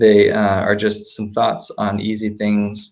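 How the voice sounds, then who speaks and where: Over a quiet background, a man with a normal speaking voice talks at a moderate pace in a fairly low pitch. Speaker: digital organizer leading volunteer training. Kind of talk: training webinar. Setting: webinar broadcast on video hangout and phone line.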